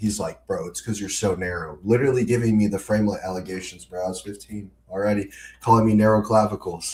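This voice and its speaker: A somewhat breathy man at a fairly low pitch and a very fast pace. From Brazil. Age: 19. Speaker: fitness coach and social media creator. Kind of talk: casual chat.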